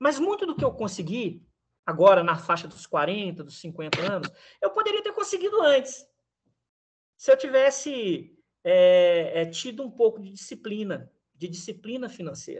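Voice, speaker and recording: Speaking at a fairly slow pace, a man uses lively intonation in a high pitch. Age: 50s. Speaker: economist and teacher. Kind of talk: interview. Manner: halting, many repeated words.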